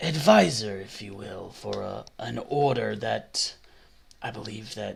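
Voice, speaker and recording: A man's raspy, fairly low-pitched put-on character voice. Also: fairly slow pace. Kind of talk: actual play game narration. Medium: actual play. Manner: gentle.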